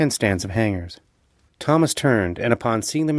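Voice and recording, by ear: The lively intonation comes through while reading aloud in a natural voice.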